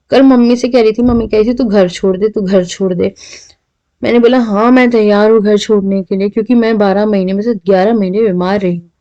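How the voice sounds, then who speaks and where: Her tone is dark and mellow, with ordinary pitch variation. The woman speaks at a moderate pace. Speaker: home vlogger. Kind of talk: cooking vlog. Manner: soft-spoken.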